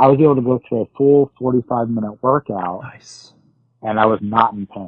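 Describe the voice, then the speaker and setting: A normal speaking voice goes along at a moderate pace, its pitch varying in an ordinary way. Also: man, medium pitch for a man. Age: 30s. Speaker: weight loss surgery patient sharing his story. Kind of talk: casual interview.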